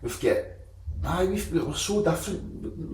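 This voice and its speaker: A man speaks with a Scottish accent, and audible room echo surrounds his voice. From Scotland. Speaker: podcast host. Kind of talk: podcast interview.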